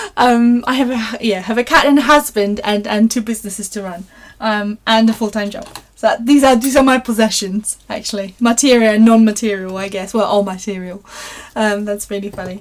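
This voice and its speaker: A fairly quick, fairly evenly intoned delivery in a Polish accent, with big swings in loudness. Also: woman, fairly high pitch for a woman. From Poland. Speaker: craft livestream host. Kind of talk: live craft tutorial and viewer chat. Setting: live stream. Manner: hesitant, many fillers.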